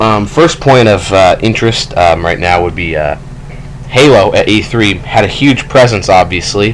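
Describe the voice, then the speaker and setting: Noticeable background noise behind a man's fairly low voice with lively intonation. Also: moderate pace. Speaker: gaming youtuber. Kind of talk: let's play commentary. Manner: halting, many fillers; casual.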